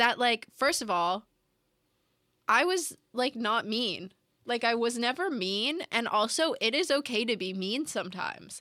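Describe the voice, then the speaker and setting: A woman with a bright, sharp tone speaks fairly slowly with very wide pitch swings, in a very clean recording with a silent background. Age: 20s. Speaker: student podcast co-host. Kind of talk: casual chat.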